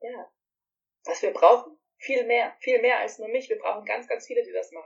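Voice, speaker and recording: A woman is speaking. Her pace is moderate. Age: 30s. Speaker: yoga teacher. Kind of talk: casual chat.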